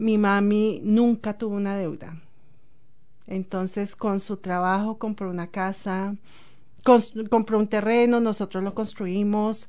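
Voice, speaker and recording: A woman speaks at a very slow pace and medium pitch. Her intonation is monotone and flat. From Colombia, Bogotá. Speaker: immigrant sharing life story. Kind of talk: interview.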